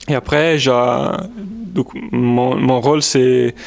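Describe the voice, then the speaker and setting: A man with an Italian accent, medium pitch and fairly even intonation, over noticeable background noise. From Italy. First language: Italian (speaking French). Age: 20s. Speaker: volunteer at a university. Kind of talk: interview answers. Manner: halting, many hesitations.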